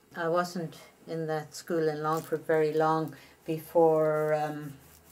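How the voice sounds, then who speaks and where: A woman speaks in an Irish accent at a very slow pace. Her very deep, low pitch stays monotone and flat. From Ireland. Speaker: retired nurse. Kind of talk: interview answer.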